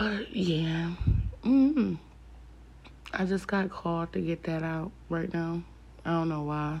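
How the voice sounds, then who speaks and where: A woman's somewhat breathy, fairly low voice with ordinary pitch variation, at a very slow pace with long, frequent pauses. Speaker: podcaster. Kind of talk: late-night solo rant, casual confessional talk to listeners. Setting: alone at night, home recording. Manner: rambling, chatty and opinionated, with filler words and a bluntly candid tone; rant turns heated and emphatic, with repeated 'you know what I'm saying' and profanity.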